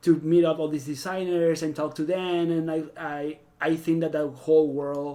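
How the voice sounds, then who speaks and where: A man's fairly high voice with a Venezuelan accent, flat and monotone at a moderate pace, on a very clean recording with a silent background. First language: Spanish. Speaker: fashion stylist. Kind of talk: casual podcast interview.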